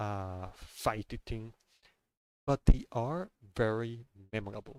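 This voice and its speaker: A man with a non-native accent speaks very slowly at a fairly low pitch with ordinary pitch variation, the sound dry and close with no echo. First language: not English. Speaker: gaming streamer. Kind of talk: casual monologue. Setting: live stream. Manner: halting, many fillers and repeats.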